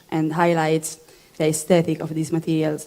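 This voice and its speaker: Someone with an Italian accent speaks in a monotone, flat intonation. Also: woman. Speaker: material designer. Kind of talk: panel presentation. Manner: halting.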